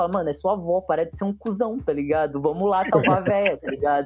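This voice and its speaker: Very fast speech from a man with a high pitch for a man, music in the background. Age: 20s. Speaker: comic artist and skateboarder. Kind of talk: casual chat.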